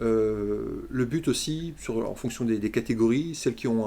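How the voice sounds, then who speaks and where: Ordinary pitch variation marks this man's voice, which has a dark, mellow tone. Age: 40s. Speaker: handball club co-president. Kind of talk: interview. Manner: hesitant, many fillers.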